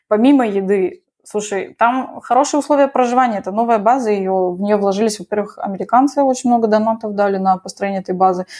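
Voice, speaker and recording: Her tone is dark and mellow, set at a fairly high pitch with ordinary pitch variation. This woman speaks at a very fast pace. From Moscow, Russia. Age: 20s. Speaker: dentist and soldier. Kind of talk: interview.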